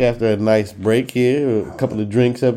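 A man at medium pitch uses an unremarkable speaking voice with fairly even intonation. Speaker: podcast host. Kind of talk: casual podcast banter and discussion.

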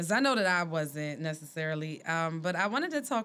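A woman speaks with a fairly low pitch. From Philadelphia. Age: 30s. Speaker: podcast co-host. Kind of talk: casual chat.

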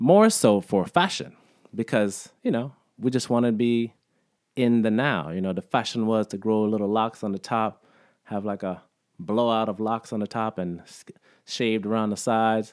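In a very clean recording with a silent background, a man with a normal speaking voice speaks at a moderate pace, medium in pitch, with fairly even intonation. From Alabama, raised partly in Jamaica and South Florida. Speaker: vegan community figure, festival organizer. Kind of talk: casual interview chat.

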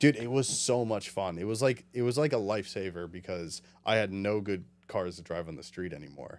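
A man with a New Jersey accent talks at a fairly quick pace and a fairly low pitch. His pitch varies in an ordinary way, while his loudness swings widely. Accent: New Jersey American. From western New Jersey. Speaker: amateur drift racer. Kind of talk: casual chat. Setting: studio.

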